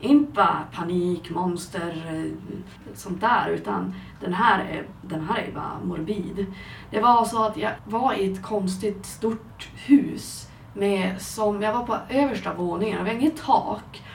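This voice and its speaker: Fairly slow speech from a woman at a medium pitch with ordinary pitch variation, amid noticeable background noise and audible room echo. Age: 20s. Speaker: podcast co-host. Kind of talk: casual chat.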